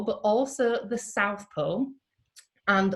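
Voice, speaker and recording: A woman speaks in a somewhat breathy voice with a Yorkshire accent. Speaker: event host introducing a guest speaker. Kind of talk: informal British, warm and jokey.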